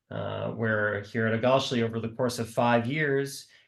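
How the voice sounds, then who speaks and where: Against a quiet background, a man with a Midwestern American accent talks at a moderate pace, medium in pitch, with fairly even intonation. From US Midwest, Milwaukee, Wisconsin. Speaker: nonprofit worker for youth surf program. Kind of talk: panel discussion on video call. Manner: hesitant with many fillers.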